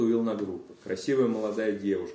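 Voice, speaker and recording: Audible room echo surrounds a man whose fairly low, dark, mellow voice shows ordinary pitch variation. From Moscow, Russia. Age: 20s. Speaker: recovering addict, AA speaker. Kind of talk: personal testimony.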